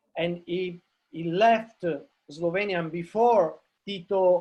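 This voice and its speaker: Very slowly, a man with an Italian accent speaks in a high voice with ordinary pitch variation. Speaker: novelist. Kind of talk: panel discussion. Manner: halting, many repetitions and fillers.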